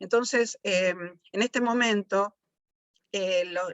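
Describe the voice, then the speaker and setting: Fairly high-pitched, a woman speaks with fairly even intonation. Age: 60s. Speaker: biologist. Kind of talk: panel talk. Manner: halting, many fillers.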